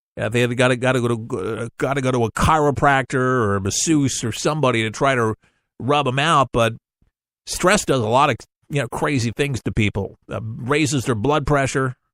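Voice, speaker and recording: A man talks in an ordinary speaking voice at medium pitch, with fairly even intonation and a moderate pace. The sound is dry and close with no echo, in a very clean recording over a silent background. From New York. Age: 40s. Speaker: radio talk show host. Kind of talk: radio talk monologue. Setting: radio studio.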